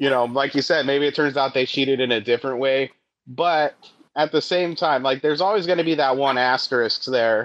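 This is a normal speaking voice with an American accent, moving at a fairly quick pace with ordinary pitch variation. The loudness stays very even over a quiet background. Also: man, fairly high pitch for a man. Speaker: comedian. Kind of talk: casual chat.

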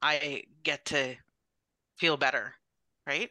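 An animated voice with a bright, sharp tone sounds dry and close with no echo, over a quiet background. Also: woman. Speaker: MS patient sharing her story. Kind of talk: casual interview, personal storytelling. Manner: animated, laughs often.

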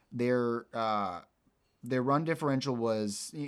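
In a very clean recording with a silent background, a man with an unremarkable speaking voice speaks at a fairly slow pace with ordinary pitch variation. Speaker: podcast host. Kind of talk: casual sports podcast chat, heated debate.

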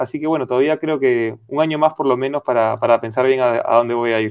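A man talks very fast. There is no echo, and the sound is dry and close. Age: 30s. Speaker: professional footballer. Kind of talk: radio interview. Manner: hesitant with fillers.

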